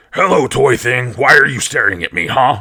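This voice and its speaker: Growling in a put-on character voice, a man speaks at a medium pitch. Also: moderate pace. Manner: menacing, confrontational.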